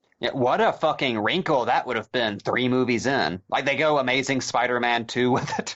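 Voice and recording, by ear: The text is read aloud in a natural voice.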